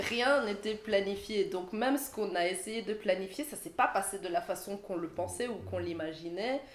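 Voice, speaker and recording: A woman's medium-pitched voice at a moderate pace, with ordinary pitch variation, hardly any pauses and noticeable background noise. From Belgium, Liège. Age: 20s. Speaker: dancer. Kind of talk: casual interview chat.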